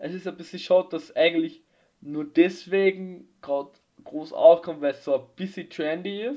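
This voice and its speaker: A man with a high-pitched, dark, mellow voice talks at a moderate pace with ordinary pitch variation. His loudness swings widely. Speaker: podcast co-host. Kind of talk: casual chat.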